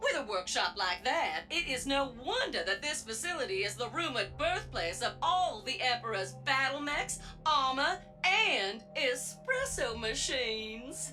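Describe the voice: In a cartoonish character voice, a woman speaks high for a woman with a bright, sharp tone, big pitch swings and a fairly slow pace over faint music in the background.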